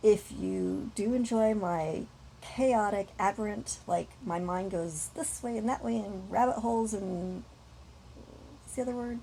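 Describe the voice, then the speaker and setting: At a fairly slow pace, a woman speaks somewhat breathily at medium pitch, with lively intonation and big swings in loudness. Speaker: vlogger. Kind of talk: casual monologue. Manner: rambling, tangential; halting with fillers.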